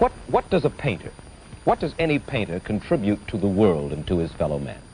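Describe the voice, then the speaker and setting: At a fairly quick pace, a man speaks with an American accent over light background noise. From United States. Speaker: TV interviewer. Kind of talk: interview questions. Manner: mildly mocking, curious. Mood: probing, mildly exasperated. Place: studio. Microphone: old recording.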